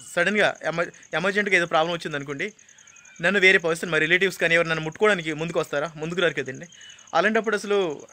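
A man's high-pitched voice keeps fairly even intonation beneath noticeable background noise. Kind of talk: testimony / complaint to camera. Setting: outdoors at a rural health centre.

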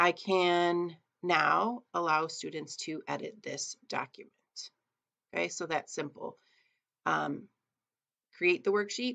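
A woman at a very slow pace, with long, frequent pauses over a quiet background. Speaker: teacher. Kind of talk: tutorial. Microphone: webcam.

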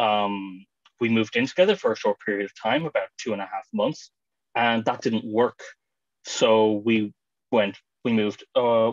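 In an Irish accent, a man speaks at a moderate pace and medium pitch with ordinary pitch variation. The sound is dry with no echo, and the background is quiet. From Ireland, County Clare; Ireland. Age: 20s. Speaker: webinar panelist. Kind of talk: webinar talk. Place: home room. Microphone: video call.

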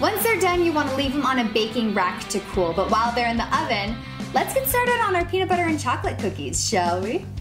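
Clear music plays in the background as a woman speaks at a very fast pace. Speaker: baking show host. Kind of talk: baking tutorial host reel. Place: kitchen.

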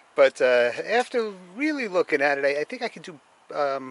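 A man speaks with ordinary pitch variation in a dry sound with no echo. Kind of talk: casual vlog chat. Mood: wry, lightly amused. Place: street. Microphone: phone near.

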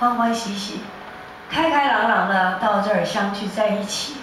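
Strong room echo fills the recording of a woman speaking. Light background noise is also present. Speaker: music teacher. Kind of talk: church prayer and announcement. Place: church. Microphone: pa.

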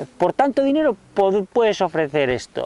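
This man talks at a fairly slow pace, his pitch swinging very widely. The sound is dry, with no echo. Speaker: YouTube creator. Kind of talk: casual vlog chat. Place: garden. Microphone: lapel.

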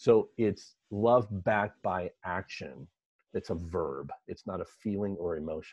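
An American-accented man talks at a fairly slow pace in a fairly low voice with ordinary pitch variation, the sound dry with no echo against a quiet background. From Los Angeles, US. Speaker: executive coach and author; podcast guest. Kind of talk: interview. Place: home room. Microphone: earbuds.

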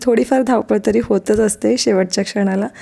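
The voice belongs to a woman with a fairly high pitch. Her tone is dark and mellow. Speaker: vlogger and schoolteacher. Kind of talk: vlog voice-over narration.

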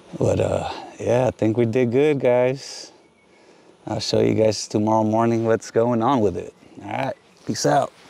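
Speaking at a fairly slow pace with long, frequent pauses, a man sounds dry, with no echo. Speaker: hobby beekeeper vlogger. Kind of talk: casual vlog chat. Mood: pleased, relaxed. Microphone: phone near.

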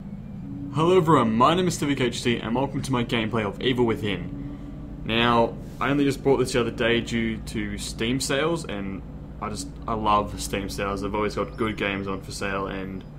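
Noticeable background noise sits behind the speaker. He is a man talking at a moderate pace. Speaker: gaming youtuber. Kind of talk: casual vlog chat. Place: home room. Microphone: webcam.

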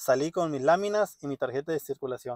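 A man's dark, mellow tone with ordinary pitch variation, dry with no echo, against a quiet background. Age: 30s. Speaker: vlogger. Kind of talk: casual vlog monologue. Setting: parked car. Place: car. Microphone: phone near.

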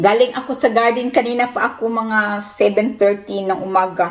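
A woman speaks over noticeable background noise. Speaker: family vlogger. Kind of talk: casual vlog talk. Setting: outdoors in garden. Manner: chatty, laughing.

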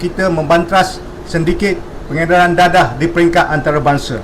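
Amid noticeable background noise and audible room echo, a man with a high pitch speaks with fairly even intonation. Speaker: police officer. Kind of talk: press conference. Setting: press conference. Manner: formal.

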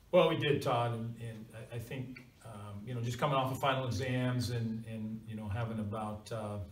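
A man at medium pitch, moderate pace, fairly even intonation, and strong room echo.

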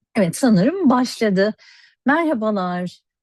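A woman's dark, mellow voice at a fairly slow pace, with very wide pitch swings, dry and close with no echo, over a quiet background. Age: 50s. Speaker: cosmetics educator and network marketer. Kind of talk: sales pitch.

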